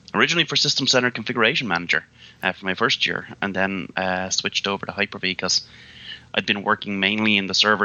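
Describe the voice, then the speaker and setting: A man with an Irish accent talks at a fairly quick pace. His very deep, low voice has a monotone, flat intonation. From Ireland, Midlands. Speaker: IT consultant and technical pre-sales lead. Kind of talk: podcast interview. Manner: casual with many fillers.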